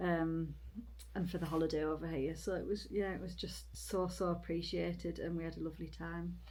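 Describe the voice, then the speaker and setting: Audible room echo surrounds a woman whose speech moves fairly quickly. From Britain. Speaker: long-distance hiker and vlogger. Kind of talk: casual chat. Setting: indoors in a cabin.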